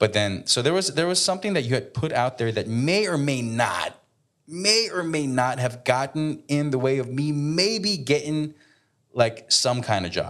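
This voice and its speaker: With a plain, everyday voice, a man speaks at a moderate pace and fairly high pitch, his intonation lively. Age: 30s. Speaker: podcast co-host. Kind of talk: casual chat. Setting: hotel room.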